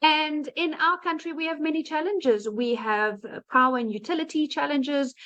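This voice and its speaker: Bright and sharp in tone, a woman with a South African accent speaks at a moderate pace in a high voice with lively intonation. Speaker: digital marketing entrepreneur. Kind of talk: testimony.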